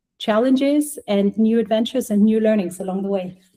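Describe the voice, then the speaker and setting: A woman with a German accent speaks at a moderate pace and a high pitch. Her tone is dark and mellow, with ordinary pitch variation. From Germany. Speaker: healthtech startup co-founder, former clinician. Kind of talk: podcast interview.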